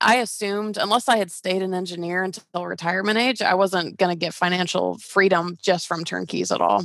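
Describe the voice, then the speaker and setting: Talking at a fairly quick pace with hardly any pauses, a woman uses an ordinary speaking voice at medium pitch with fairly even intonation. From US South, Georgia (Atlanta). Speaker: real estate investor and coach. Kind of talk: casual interview.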